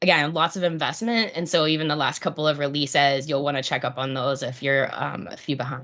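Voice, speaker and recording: A woman with an American accent, very deep and low in pitch, with ordinary pitch variation, a fairly quick pace and hardly any pauses. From US, Pittsburgh. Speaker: product marketing presenter. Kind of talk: product webinar presentation. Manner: animated, enthusiastic; many fillers (um, uh).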